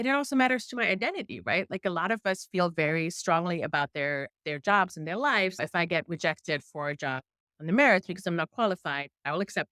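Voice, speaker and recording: Very fast and in a strong German accent, a woman with a fairly low pitch speaks with a bright, sharp tone and lively intonation, in a very clean, dry, close recording with no echo and a silent background. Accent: thick German. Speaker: investigative journalist. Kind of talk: interview.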